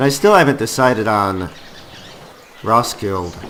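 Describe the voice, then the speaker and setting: Over noticeable background noise, a man speaks fairly slowly at a medium pitch with ordinary pitch variation. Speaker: gaming YouTuber. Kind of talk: let's play commentary. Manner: casual, conversational.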